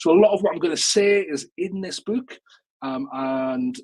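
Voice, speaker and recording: With a northeast English accent, a man talks in very wide pitch swings. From northeast England, Newcastle. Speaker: education technology speaker and author. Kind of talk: webinar presentation. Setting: live online webinar. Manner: casual, many fillers and repetitions.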